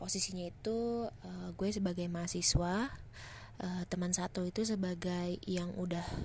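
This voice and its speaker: Speech comes at a very slow pace with a flat, monotone intonation. The voice is somewhat breathy. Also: woman. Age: 20s. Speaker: podcast host and university student. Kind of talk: casual chat.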